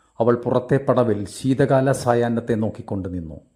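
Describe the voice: Straightforward plain reading aloud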